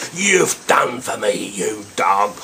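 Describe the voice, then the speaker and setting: Here a man is speaking. There is noticeable background noise. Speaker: poetry reciter. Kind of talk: poetry reading.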